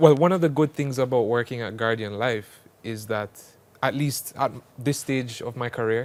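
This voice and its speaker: A man speaks at a moderate pace with medium pitch. He has a plain, everyday voice and ordinary pitch variation. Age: 20s. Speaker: actuary, insurance manager. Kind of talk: TV interview.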